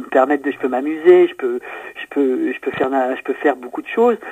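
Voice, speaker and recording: With normal movement in pitch, a man talks in a rather high register. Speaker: voice actor. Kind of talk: interview. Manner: clear diction; distinctive way of speaking.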